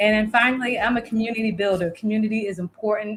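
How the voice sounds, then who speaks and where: Over noticeable background noise, a woman with a Southern US accent and fairly high pitch talks at a very fast pace. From South Florida. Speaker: virtual producer and community builder. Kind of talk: interview.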